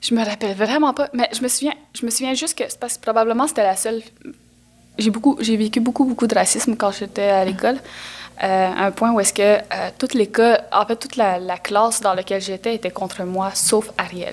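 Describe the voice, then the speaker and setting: Here a woman talks at a fairly quick pace. Her pitch is fairly high, with ordinary variation. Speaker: actress. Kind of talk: casual interview.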